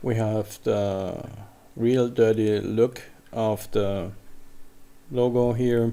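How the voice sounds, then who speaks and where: A man's medium-pitched voice, dark and mellow in tone, with a German accent. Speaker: software tutorial creator. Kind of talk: tutorial. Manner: slow; halting.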